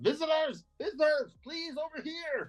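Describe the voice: A squeaky, put-on character voice from a man at an extremely high pitch, moderate pace, with music in the background.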